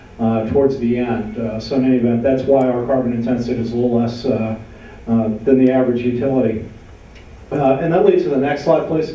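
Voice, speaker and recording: Amid noticeable background noise and audible room echo, a man speaks at a fairly quick pace in a medium pitch with fairly even intonation. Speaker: utility policy director. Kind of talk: panel presentation. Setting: panel event with audience.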